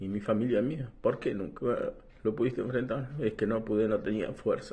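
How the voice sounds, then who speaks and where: At a fairly slow pace, a man delivers his words. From Buenos Aires province, Argentina. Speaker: war veteran. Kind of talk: testimony. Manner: halting. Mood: grieving, remorseful. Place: home room. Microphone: phone near.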